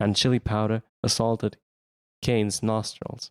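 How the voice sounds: Quiet background behind a natural reading voice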